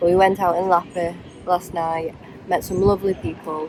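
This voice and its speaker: Over noticeable background noise, a woman speaks with an English accent. Her fairly low voice keeps a monotone, flat intonation. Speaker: travel vlogger. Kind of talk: travel vlog narration.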